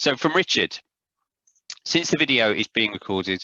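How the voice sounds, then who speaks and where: A man speaks with a South London accent at a fairly quick pace. His pitch swings very widely. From South London, England. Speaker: publishing trainer presenting online courses. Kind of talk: Q&A session in a video-call seminar. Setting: video call. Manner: hesitant, many fillers.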